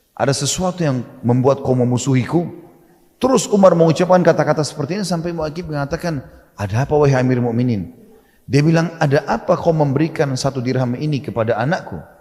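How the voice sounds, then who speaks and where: Somewhat breathy and very fast, a man talks with a fairly high pitch and ordinary pitch variation. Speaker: Islamic preacher. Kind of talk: Islamic sermon (ceramah) retelling a historical story. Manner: explanatory, conversational.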